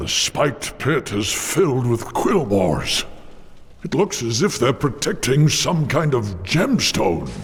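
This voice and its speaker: A man's put-on character voice at a medium pitch, fairly slow, with very wide pitch swings and light background noise. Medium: video game. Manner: calm, solemn.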